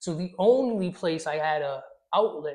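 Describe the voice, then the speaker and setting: A man speaks with a fairly high pitch and ordinary pitch variation. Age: adult. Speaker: former prisoner and student. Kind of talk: interview. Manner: loud.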